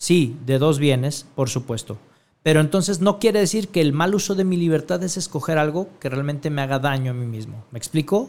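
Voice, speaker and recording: A man speaks with lively intonation. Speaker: radio host. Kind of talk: radio talk show with motivational talk. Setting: radio studio. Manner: animated.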